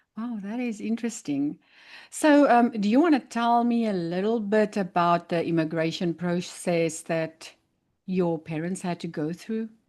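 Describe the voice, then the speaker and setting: Against a quiet background, a woman with a South African accent speaks at a fairly slow pace with lively intonation and a medium pitch. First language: Afrikaans. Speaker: podcast host. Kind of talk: interview.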